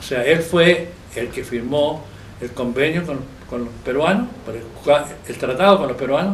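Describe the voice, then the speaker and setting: There is audible room echo and noticeable background noise as a man speaks with lively intonation. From Chile, Chillán. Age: 80s+. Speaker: architect and local historian. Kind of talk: interview testimony, recollection. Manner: halting, with fillers and self-corrections.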